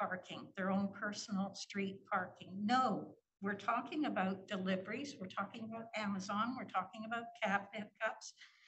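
Amid audible room echo, a woman speaks at a medium pitch and a moderate pace. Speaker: city councillor. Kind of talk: council meeting debate. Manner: emphatic.

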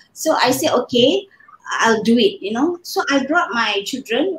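Speaking at a fairly slow pace, a woman makes very wide pitch swings. Audible echo fills the room. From Malaysia. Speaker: fashion design scholar and trainer; interview guest, fashion educator. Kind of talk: interview. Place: home room.

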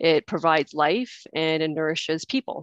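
Against a quiet background, a woman in a Canadian accent speaks at a moderate pace with a very deep, low pitch, the sound dry with no echo. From Canada. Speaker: participant sharing conversion story. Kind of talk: personal testimony. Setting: video call. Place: home room. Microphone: headset.

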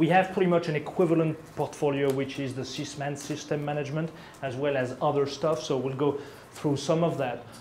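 A man with a French accent talks at a fairly quick pace and a fairly high pitch. His intonation is fairly even, with light background noise behind him. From France. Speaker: product management lead. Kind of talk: product presentation. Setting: presentation room with live audience. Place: meeting room.

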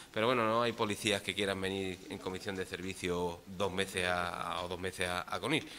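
The voice has a bright, sharp tone and fairly even intonation, moving at a fairly quick pace with hardly any pauses over light background noise. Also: man, very deep, low pitch for a man. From Andalusia. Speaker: council member or mayor. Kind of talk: council meeting debate. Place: hall. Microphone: podium.

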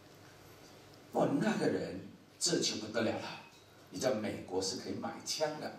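Over light background noise and with audible room echo, a man speaks very slowly at a medium pitch, his pitch swinging very widely. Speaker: pastor teaching a course for entrepreneurs. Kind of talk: sermon-style lecture. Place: stage.

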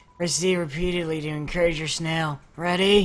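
A put-on character voice at a middle pitch, with faint music in the background. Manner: awkward, unenthusiastic.

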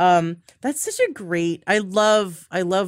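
A woman speaks with a slight Canadian accent. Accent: North American, slight Canadian.

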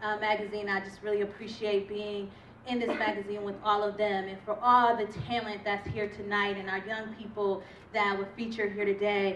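A woman speaks in a monotone, flat way at a moderate pace, with audible room echo and light background noise. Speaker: guest. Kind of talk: thank-you speech. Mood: grateful, warm. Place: hall. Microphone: handheld.

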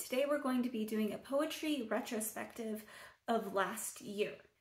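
In a room with audible echo, a woman with a fairly high pitch speaks somewhat breathily at a fairly slow pace with ordinary pitch variation. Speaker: poet. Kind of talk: casual talk to camera. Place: home room. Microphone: phone near.

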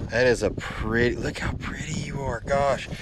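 An American accent, a dry sound with no echo, and noticeable background noise. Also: man. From Tennessee. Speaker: fishing YouTuber. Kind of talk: casual vlog talk to camera while fishing. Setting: outdoors on a lake, fishing boat. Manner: animated. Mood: excited, cheerful. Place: boat. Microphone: phone near.

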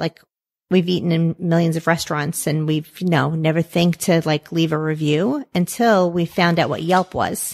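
In a dry, close recording with no echo, a woman with an unremarkable speaking voice talks at a moderate pace in a fairly low pitch with fairly even intonation. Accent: American. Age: 50s. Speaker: pizzeria owner. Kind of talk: interview.

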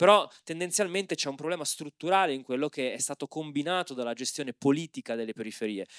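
A man at a very fast pace and fairly high pitch, lively in intonation with hardly any pauses, in a dry sound with no echo and a quiet background. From Milan periphery (Opera), family from Civitavecchia; Milan. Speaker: anthropologist and moderator; moderator. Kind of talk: panel discussion. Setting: stage with audience. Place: hall. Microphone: handheld.

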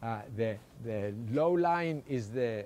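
A man's medium-pitched voice, dark and mellow in tone, with lively intonation. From Cyprus. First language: Greek. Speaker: economist; lecturer. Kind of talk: lecture. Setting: stage with audience. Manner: halting. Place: garden. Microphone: podium.

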